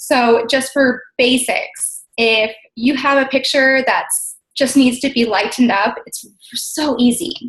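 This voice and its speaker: A high-pitched woman's voice with ordinary pitch variation. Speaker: social media marketing trainer. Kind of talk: webinar tutorial. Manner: fast; animated.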